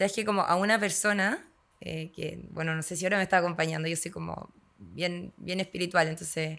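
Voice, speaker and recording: Speaking at a fairly quick pace, a woman with a Chilean accent has a fairly low pitch, vocal fry and fairly even intonation. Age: 30s. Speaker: yoga instructor and agronomist. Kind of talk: podcast interview.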